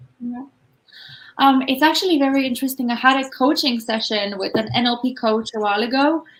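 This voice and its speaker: Music plays behind a high-voiced woman who talks at a fairly quick pace with ordinary pitch variation. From Malta. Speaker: business coach. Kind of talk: interview.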